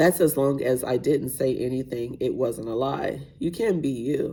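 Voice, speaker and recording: A woman puts on a raspy character voice with a very deep, low pitch, speaking at a moderate pace over light background noise. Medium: read story. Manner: firm, commanding.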